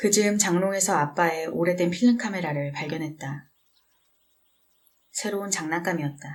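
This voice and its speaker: The speech comes at a moderate pace with ordinary pitch variation. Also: woman. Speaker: book reader / audiobook narrator. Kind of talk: calm book reading aloud. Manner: soft, relaxing.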